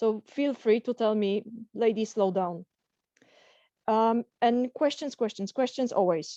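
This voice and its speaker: Pausing long and often at a fairly slow pace, a woman with a Polish accent speaks at a fairly high pitch in a dark, mellow tone, the sound dry and close with no echo over a quiet background. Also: ordinary pitch variation. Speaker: career coach. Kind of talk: webinar lecture. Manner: halting.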